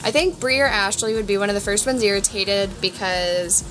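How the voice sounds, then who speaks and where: With music in the background, a woman with an American accent speaks at a moderate pace and a medium pitch, using ordinary pitch variation. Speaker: vlogger. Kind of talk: casual chat.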